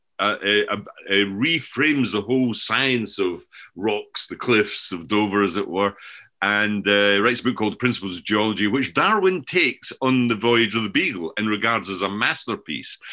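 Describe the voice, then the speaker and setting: A man with a Scottish accent speaks in a bright, sharp tone at a moderate pace, his medium pitch showing ordinary variation. The recording is very clean, with a silent background. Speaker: professor and author. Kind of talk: casual discussion of ideas.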